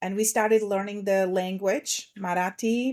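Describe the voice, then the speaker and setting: A woman speaks in a Russian accent at a moderate pace. Her pitch sits in the medium range. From Slovakia. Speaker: transformation coach. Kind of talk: podcast interview.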